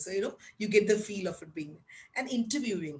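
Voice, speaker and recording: A woman speaks fairly quickly with lively intonation. Audible room echo surrounds her voice. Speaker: teacher trainer. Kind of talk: webinar lecture. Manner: loud; animated.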